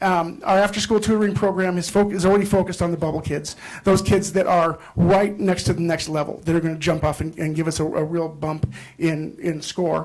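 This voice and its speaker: Noticeable noise sits in the background. The talking goes at a fairly quick pace. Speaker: school principal. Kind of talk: presentation to school board. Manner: fast; hesitant, many fillers.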